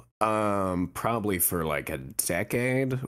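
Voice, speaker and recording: A very clean recording of a man, the background silent. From Pacific Northwest, USA. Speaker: voice actor. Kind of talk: interview answer.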